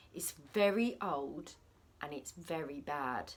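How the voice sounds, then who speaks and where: A woman uses a put-on character voice, very deep and low-pitched with a rumbling quality. She speaks at a fairly slow pace. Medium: read story.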